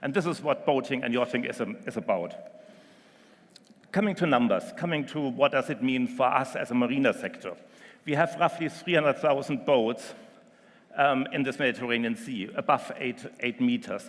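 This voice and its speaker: In a very clean recording with a silent background, a man with a German accent speaks at a moderate pace, his fairly high voice full of lively intonation. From Germany. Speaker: marina company executive. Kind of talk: conference presentation. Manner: hesitant, frequent um fillers.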